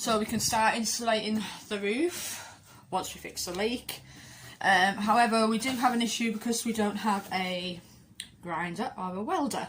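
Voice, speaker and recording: A quiet woman with a fairly high pitch speaks with ordinary pitch variation. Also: moderate pace. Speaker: campervan DIY vlogger. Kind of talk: casual vlog update. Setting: outdoors in a van. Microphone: too quiet, mic partly covered.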